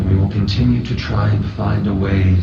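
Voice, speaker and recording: A man uses a put-on character voice with a very deep, low pitch. There is slight echo and clear background noise. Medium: actual play. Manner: formal, measured.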